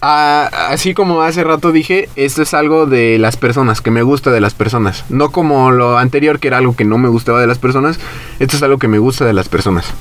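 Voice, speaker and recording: A man speaks at a medium pitch and a fairly quick pace, with ordinary pitch variation, very even loudness and noticeable background noise. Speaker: podcast co-host. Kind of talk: casual chat.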